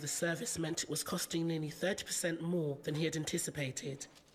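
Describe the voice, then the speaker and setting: Speech at a rather brisk rate, with clearly audible noise behind it. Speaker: event host. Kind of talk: scripted narration. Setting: stage with audience.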